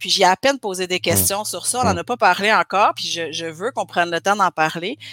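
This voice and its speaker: A woman talks at a fairly quick pace in a medium pitch with a bright, sharp tone and ordinary pitch variation, in a very clean recording with a silent background and a dry, close sound with no echo. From Quebec (Granby). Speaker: community organizer and activist. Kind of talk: casual interview conversation.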